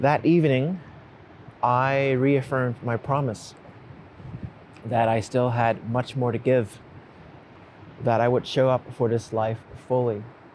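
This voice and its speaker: This man speaks in a calm tone at medium pitch, with fairly even intonation. His pace is fairly slow, broken by long, frequent pauses. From United States, immigrated from a Cantonese-speaking place at ten. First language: Cantonese. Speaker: writer and creator of a letter series. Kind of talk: reflective personal narration. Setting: outdoors on a beach at dawn. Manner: slow and calm.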